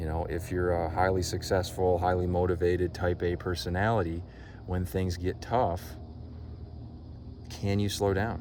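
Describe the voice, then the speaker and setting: A man with a very deep, low voice speaks at a moderate pace in a flat monotone, with long, frequent pauses and audible room echo. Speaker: life coach. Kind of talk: vlog monologue.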